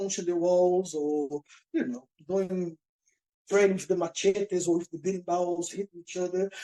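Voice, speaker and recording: This man has a high voice with a dark, mellow tone. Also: dry, close sound with no echo. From Brazil, countryside of Pará. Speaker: capoeira teacher. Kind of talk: interview. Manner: halting.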